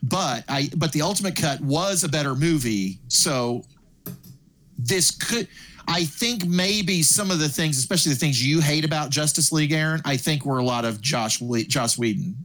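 A man with a plain, everyday voice speaks at a moderate pace in a fairly high pitch, his loudness very even and his intonation lively. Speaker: podcast co-host. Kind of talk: casual chat.

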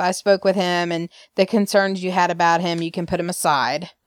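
A woman with an Alabama accent, medium-pitched, at a fairly slow pace, on a very clean recording with a silent background. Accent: Southern US (Alabama). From US South, Alabama. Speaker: podcast co-host. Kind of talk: casual chat, soap opera recap.

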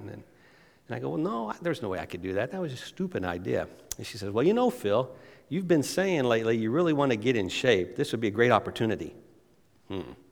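Very fast and full of very wide pitch swings and big swings in loudness, a man speaks at a medium pitch on a very clean recording with a silent background. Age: 50s. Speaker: missions charity representative and former pastor. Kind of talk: guest sermon. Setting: church service.

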